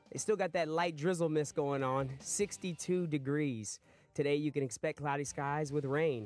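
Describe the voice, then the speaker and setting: An upbeat, energetic man at a fairly high pitch, with very even loudness, ordinary pitch variation and a dry sound with no echo. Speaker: radio host. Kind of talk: radio DJ patter. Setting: radio studio. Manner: upbeat, energetic, rapid-fire DJ banter. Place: studio.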